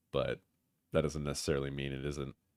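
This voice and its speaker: Dry and close with no echo, a man's very deep, low voice carries vocal fry at a moderate pace. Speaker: gaming livestreamer. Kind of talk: casual livestream chat.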